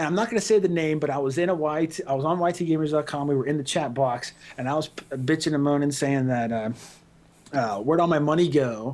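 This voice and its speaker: A man speaks at a very fast pace with a fairly high pitch. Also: ordinary pitch variation. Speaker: gaming website co-owner. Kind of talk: casual podcast chat. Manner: animated.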